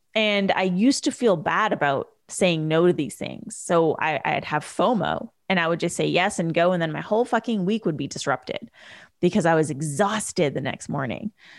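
A woman with a Canadian accent, a plain, everyday voice, a fairly low pitch and lively intonation, on a very clean recording with a silent background. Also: moderate pace. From Canada, British Columbia. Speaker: podcast host, entrepreneur coach. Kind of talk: solo podcast monologue.

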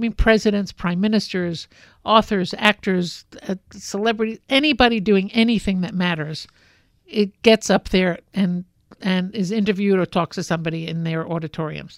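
A woman with a New York accent speaks at a medium pitch with ordinary pitch variation and a moderate pace. The recording is very clean, with a silent background and a dry, close sound with no echo. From New York City (Brooklyn). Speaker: fashion industry consultant. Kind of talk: interview.

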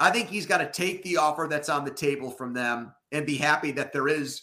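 A man's fairly high voice with a bright, sharp tone at a moderate pace, in a very clean recording with a silent background. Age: 30s. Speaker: sports podcast co-host. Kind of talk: casual chat.

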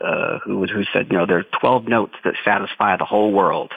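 With a normal speaking voice, a man talks at a moderate pace, his pitch fairly low and its variation ordinary. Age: 30s. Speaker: jazz drummer and teacher. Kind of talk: interview.

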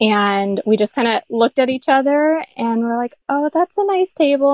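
With an American accent, a woman speaks in a plain, everyday voice at a moderate pace with ordinary pitch variation, in a dry, close sound with no echo. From Florida. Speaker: furniture refinisher. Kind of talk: casual interview.

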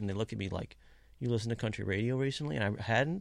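Over a silent background in a very clean recording, a man with an American accent talks at a very fast pace with vocal fry. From Kentucky. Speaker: country musician. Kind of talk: casual interview. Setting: studio.

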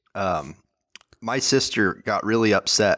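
A man at a medium pitch speaks with a Californian accent in a dry, close sound with no echo. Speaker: podcast co-host. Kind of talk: casual chat. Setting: video call.

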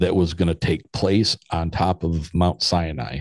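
The man's pitch is very deep and low. He speaks at a fairly slow pace. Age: 50s. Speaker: paranormal podcaster. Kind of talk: casual interview chat.

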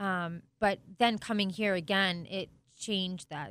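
A woman's normal speaking voice, medium in pitch with fairly even intonation, in a very clean recording with a silent background. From Italian-American family. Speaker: sports team co-owner. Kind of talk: interview.

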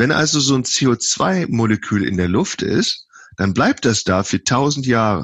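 A man's voice with lively intonation. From western Germany, Lower Rhine (Viersen). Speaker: professor of animal science. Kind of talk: interview. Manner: halting, many fillers.

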